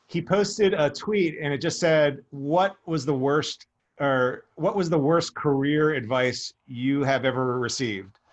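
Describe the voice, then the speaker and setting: A man with a fairly high pitch and an American accent speaks at a fairly slow pace with hardly any pauses and ordinary pitch variation against a quiet background, in an ordinary speaking voice. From southern New Jersey near Philadelphia. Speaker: marketing executive. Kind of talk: interview.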